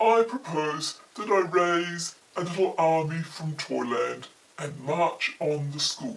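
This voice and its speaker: A put-on character voice from a woman, fairly low in pitch and at a fairly slow pace. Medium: read story. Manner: polite, earnest, formal.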